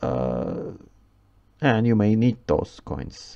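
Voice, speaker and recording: A man's fairly low voice with a non-native accent, a dark, mellow tone and very wide pitch swings. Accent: non-native English pronunciation. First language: Turkish. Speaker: gaming YouTuber. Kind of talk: game review commentary. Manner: halting, many fillers.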